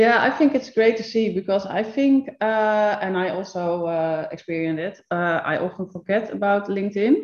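At a moderate pace, a woman with a Dutch accent and a medium pitch speaks with ordinary pitch variation and hardly any pauses. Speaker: podcast host and photographer. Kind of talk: casual chat. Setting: home studio. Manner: halting.

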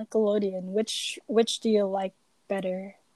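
Speaking at a fairly slow pace, a woman with a Malaysian accent is heard in a dry, close sound with no echo. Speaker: podcast co-host. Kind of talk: casual chat.

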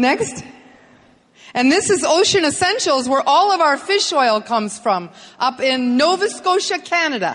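A woman's high voice at a very slow pace, with very wide pitch swings and very even loudness. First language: English (speaking Spanish). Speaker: business motivational speaker. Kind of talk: presentation with interpreter. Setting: stage with audience.

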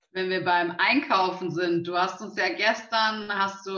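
In a room with audible echo, a woman of medium pitch talks at a fairly slow pace. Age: young. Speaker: local politician, co-moderator. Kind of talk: live talk interview. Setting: live video stream.

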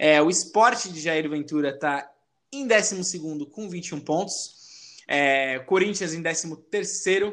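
In a normal speaking voice, a man talks at a fairly slow pace with ordinary pitch variation against a quiet background. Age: 20s. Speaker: podcast host. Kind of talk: casual chat.

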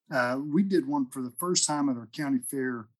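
Pitched fairly high, a man talks at a moderate pace, his pitch varying in an ordinary way. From southern Oklahoma. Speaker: county extension agent, podcast host. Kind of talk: casual interview.

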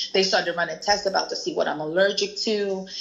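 A female speaker talks while noticeable background noise carries on behind her. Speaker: guest sharing weight loss story. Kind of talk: casual chat.

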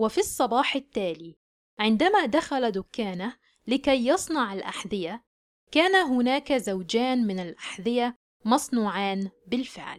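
In an Egyptian accent, a woman speaks very slowly at a high pitch with very wide pitch swings. The recording is very clean, with a silent background. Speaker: English teacher. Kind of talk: language lesson with reading aloud. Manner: slow, clear enunciation.

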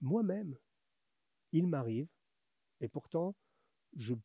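A dark, mellow, somewhat breathy voice moves at a fairly slow pace with lively intonation. The sound is dry and close, with no echo. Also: man. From France. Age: 50s. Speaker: menswear author and YouTuber. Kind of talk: interview.

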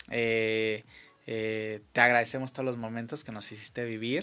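This man's tone is bright and sharp. He talks at a moderate pace. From Mexico, Acapulco. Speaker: radio show host. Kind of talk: casual interview. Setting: studio.

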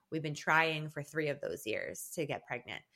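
Recorded very cleanly against a silent background, a woman in an ordinary speaking voice talks at a moderate pace with a fairly low pitch. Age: 30s. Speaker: guest sharing her infertility and IVF story. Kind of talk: casual interview chat.

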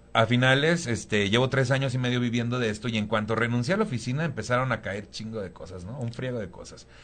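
Talking at a very fast pace, a man shows big swings in loudness alongside ordinary pitch variation. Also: medium pitch for a man. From Mexico, Tampico, Tamaulipas. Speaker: stand-up comedian. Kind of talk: casual chat.

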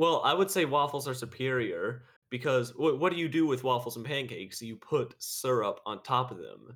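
A man with a plain, everyday voice speaks at a moderate pace and medium pitch with ordinary pitch variation. His loudness swings widely. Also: hardly any pauses. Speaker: podcast host. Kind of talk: casual chat.

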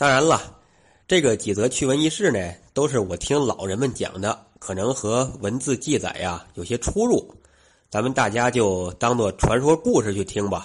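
A man with a Tianjin accent speaks at a medium pitch and a moderate pace. His intonation is lively, and the background is quiet. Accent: Wuqing (Tianjin) accented Mandarin. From Wuqing, Tianjin, China. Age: young. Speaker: listener contributor. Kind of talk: storytelling. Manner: storyteller style.

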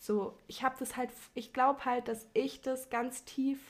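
A woman's voice comes across as somewhat breathy. Her intonation is monotone and flat. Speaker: podcast guest. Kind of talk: casual chat.

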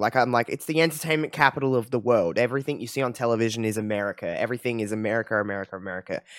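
The speech is very fast, with lively intonation. The sound is dry and close with no echo. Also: man. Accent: Australian. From Australia. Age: 20s. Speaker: podcast host. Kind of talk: casual chat. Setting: video call. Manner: animated.

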